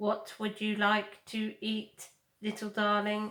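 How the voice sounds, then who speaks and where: A woman uses a put-on character voice at medium pitch with monotone, flat intonation. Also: fairly slow pace. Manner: friendly, warm.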